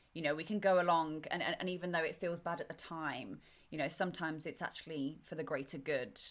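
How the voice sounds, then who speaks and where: Speaking very fast, a woman with an English accent uses a fairly low pitch. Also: ordinary pitch variation. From England. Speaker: podcast host. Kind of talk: interview.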